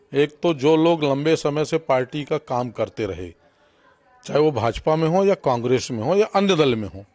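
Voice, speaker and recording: With a normal speaking voice pitched fairly high, a man speaks with lively intonation. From Madhya Pradesh, Satna district. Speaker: politician. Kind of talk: interview.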